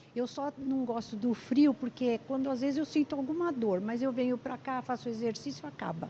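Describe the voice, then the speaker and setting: With noticeable background noise behind her, a woman speaks at a high pitch with ordinary pitch variation and hardly any pauses. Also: moderate pace. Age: 70s. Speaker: physiotherapy patient. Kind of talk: interview.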